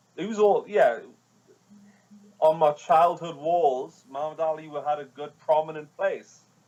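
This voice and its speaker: With a Geordie accent, a man talks at a fairly slow pace in a fairly high pitch, his intonation fairly even but his loudness swinging a lot, and he leaves long, frequent pauses. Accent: Geordie (Newcastle) English. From northern England, Newcastle. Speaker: hip hop artist and music producer. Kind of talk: casual interview.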